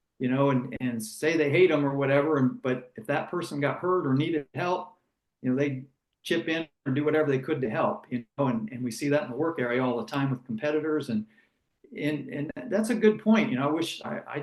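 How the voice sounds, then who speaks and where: A normal speaking voice with an American accent carries lively intonation. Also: man. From United States. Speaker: former racing driver and broadcaster. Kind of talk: interview conversation.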